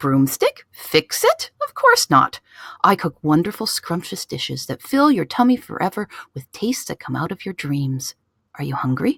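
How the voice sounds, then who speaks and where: A woman's put-on character voice at a medium pitch and moderate pace. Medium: read story. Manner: haughty.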